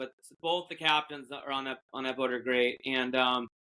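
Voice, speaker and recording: A man with a New England accent speaks at a moderate pace, his fairly high pitch held in a monotone, flat intonation. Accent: New England American. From Massachusetts. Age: 40s. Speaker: fishing boat captain. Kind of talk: casual chat. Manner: halting, many fillers.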